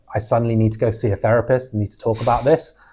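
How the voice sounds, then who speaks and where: A man with a London accent speaks at a fairly quick pace on a very clean recording with a silent background. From London, England. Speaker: podcast co-host. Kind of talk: casual chat.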